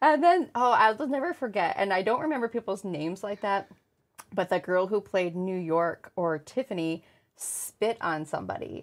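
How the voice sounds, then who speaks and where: A woman's plain, everyday voice at medium pitch with lively intonation, in a very clean recording with a silent background. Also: moderate pace. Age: 40s. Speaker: podcast co-host, coffee business owner. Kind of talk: casual chat.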